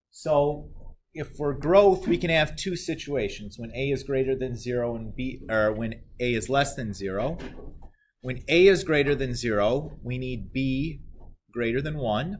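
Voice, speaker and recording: Fairly slow speech from a man, with the room's echo clearly audible. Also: medium pitch for a man, ordinary pitch variation. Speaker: math teacher. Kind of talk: lecture.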